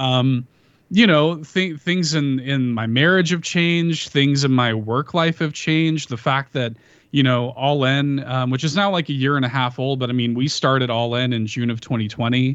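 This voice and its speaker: A man speaks in an unremarkable speaking voice at a medium pitch. He keeps a moderate pace with ordinary pitch variation. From Chicago, US. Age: 30s. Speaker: podcaster. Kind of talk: casual chat. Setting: video call.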